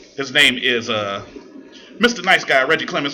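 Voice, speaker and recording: Background noise is noticeable here. The voice belongs to a man. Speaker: radio host. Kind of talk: casual chat. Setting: studio. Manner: stutters.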